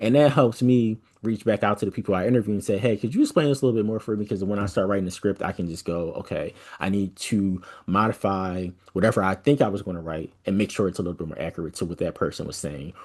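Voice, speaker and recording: A man at a very fast pace with ordinary pitch variation over a quiet background. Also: fairly low pitch for a man. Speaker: science podcaster and workshop instructor. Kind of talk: online workshop tutorial. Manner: casual, many fillers.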